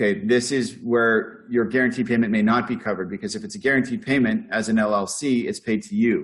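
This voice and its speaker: Here a man speaks at a fairly quick pace. His pitch is medium with ordinary variation. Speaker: accounting firm founder leading a webinar. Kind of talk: webinar Q&A. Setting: online webinar. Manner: fast.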